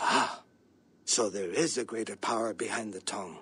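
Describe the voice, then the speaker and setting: In a put-on character voice, the speaker sounds raspy and low-pitched at a moderate pace. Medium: video game. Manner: formal, measured.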